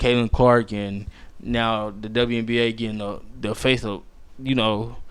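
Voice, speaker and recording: At a fairly slow pace, a man speaks in a monotone. His pitch is medium and his intonation flat. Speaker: podcast host. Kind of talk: casual solo sports podcast. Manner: halting, stumbles over words; casual, slangy.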